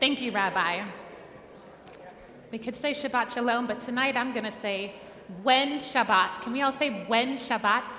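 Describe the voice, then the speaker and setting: A woman with a high pitch talks at a moderate pace with long, frequent pauses, amid audible room echo and noticeable background noise. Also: ordinary pitch variation. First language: Spanish. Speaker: cantor. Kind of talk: service introduction. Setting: synagogue sanctuary service.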